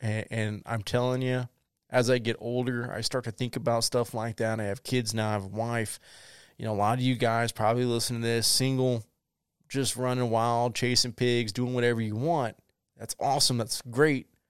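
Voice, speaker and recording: Speaking at a moderate pace with a Southern US accent, a man uses a medium pitch and monotone, flat intonation in a very clean, silent recording with a dry, close sound and no echo. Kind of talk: solo podcast monologue. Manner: casual, rambling.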